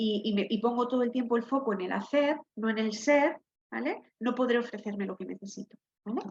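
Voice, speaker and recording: Her fairly high-pitched voice moves at a fairly quick pace, and this woman shows ordinary pitch variation. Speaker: occupational therapist. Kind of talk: online workshop talk. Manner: soft-spoken.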